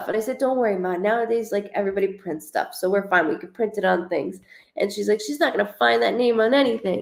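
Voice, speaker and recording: A woman's put-on character voice, raspy and medium-pitched, with lively intonation at a very fast pace. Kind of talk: casual conversational.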